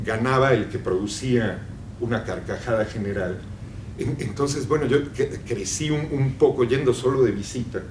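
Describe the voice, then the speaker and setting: There is audible room echo and noticeable background noise behind this man. He speaks at a medium pitch and moderate pace with ordinary pitch variation. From Mexico. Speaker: novelist. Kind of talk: public conversation. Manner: halting, many repetitions.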